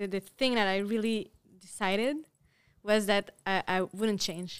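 A woman with a Quebec accent talks at a fairly slow pace and medium pitch. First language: French. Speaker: artist. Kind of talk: interview. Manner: halting.

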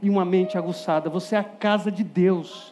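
With noticeable background noise behind him, a man speaks in an animated tone at a high pitch. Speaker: preacher. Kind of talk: sermon to a youth audience, with direct appeals, Bible exposition and a closing prayer. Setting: stage with audience.

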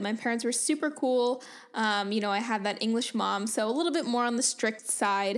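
A woman with an unremarkable speaking voice talks at a moderate pace and fairly high pitch, with ordinary pitch variation. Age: 20s. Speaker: podcast host and fitness coach. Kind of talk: casual solo monologue.

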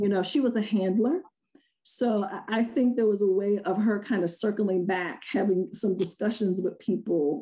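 A woman's dark, mellow, medium-pitched voice in an American accent, at a moderate pace over a quiet background. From Rochester, New York. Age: 50s. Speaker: money coach. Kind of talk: interview.

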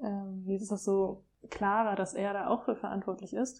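Over a quiet background, a woman at medium pitch speaks at a fairly quick pace in a dark, mellow tone. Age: 20s. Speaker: young mother. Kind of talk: casual chat. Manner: hesitant, many fillers.

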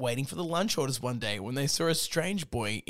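Natural reading voice throughout

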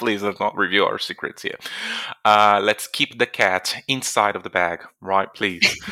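Bright and sharp in tone, a man speaks at a fairly slow pace with a fairly low pitch and monotone, flat intonation. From Brazil. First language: Portuguese. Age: 20s. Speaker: language teacher. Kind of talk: language lesson.

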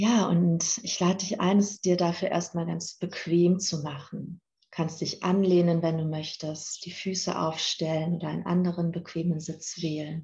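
A woman's fairly low, somewhat breathy voice in a monotone, flat intonation, at a fairly slow pace. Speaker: podcast host and meditation guide. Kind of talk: guided meditation, calm instructions addressed to 'you'. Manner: slow, soft, soothing, with long pauses; gentle and calm.

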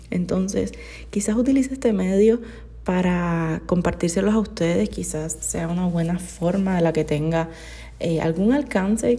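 Her voice is somewhat breathy, with a dark, mellow tone and a fairly low pitch. The woman talks at a fairly slow pace. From Cuba. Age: 20s. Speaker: podcaster. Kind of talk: casual monologue.

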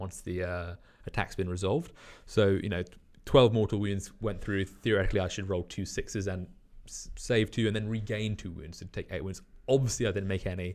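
A man talks at a fairly quick pace with a British accent and fairly even intonation. The recording is very clean, with a silent background. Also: fairly low pitch for a man. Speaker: wargaming club community manager. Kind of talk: casual chat.

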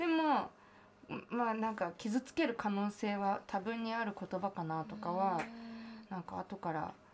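A woman has an unremarkable speaking voice at a medium pitch. She talks at a fairly slow pace with lively intonation. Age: 20s. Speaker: singer-songwriter. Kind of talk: casual chat.

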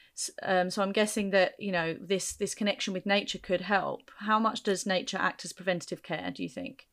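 Over a silent background on a very clean recording, a woman with a medium pitch talks at a fairly quick pace with fairly even intonation and hardly any pauses. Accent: southern English. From Kent, England. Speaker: podcast host and teacher. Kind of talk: interview.

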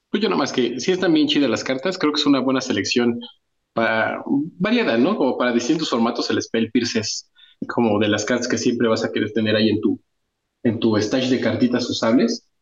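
A man speaks with a Mexican accent at a medium pitch and a moderate pace. His loudness stays very even, and his pitch varies in an ordinary way. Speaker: podcast co-host. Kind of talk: casual chat.

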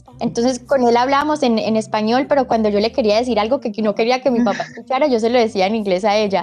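With hardly any pauses, a woman speaks very fast at a fairly high pitch, with ordinary pitch variation and very even loudness, over noticeable background noise. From US, born in Medellín, Colombia. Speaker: actress. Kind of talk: interview.

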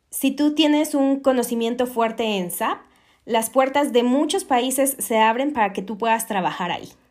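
With a Mexican accent, a woman speaks. Her pitch is high. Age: 20s. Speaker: podcast host, SAP consultant. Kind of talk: solo podcast monologue.

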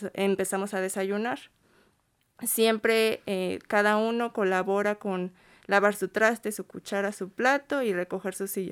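A woman with an ordinary speaking voice talks at a fairly slow pace with a medium pitch and fairly even intonation, on a very clean recording with a silent background. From State of Mexico. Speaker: migrant shelter volunteer. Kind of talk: interview. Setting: studio.

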